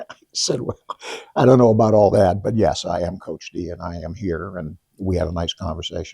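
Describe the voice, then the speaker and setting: At a fairly quick pace, a man with a very deep, low pitch and a dark, mellow tone sounds somewhat breathy, with ordinary pitch variation and big swings in loudness. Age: 70s. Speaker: high school lacrosse coach. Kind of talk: interview. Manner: halting, with many restarts.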